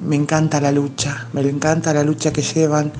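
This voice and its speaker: Amid noticeable background noise, a woman speaks with a very deep, low pitch. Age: 50s. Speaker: feminist march participant. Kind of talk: voice message testimony. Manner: halting.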